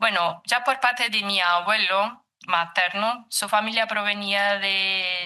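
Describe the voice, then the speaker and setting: With a Brazilian accent, a woman speaks very slowly at a medium pitch, using a bright, sharp tone and fairly even intonation. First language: Portuguese (speaking Spanish). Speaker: psychologist and researcher. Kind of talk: lecture. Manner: reading aloud, halting.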